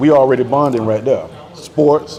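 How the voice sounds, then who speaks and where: Noticeable background noise surrounds a man with an American accent speaking at a fairly high pitch. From Tampa, Florida. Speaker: DJ. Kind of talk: casual chat. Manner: animated.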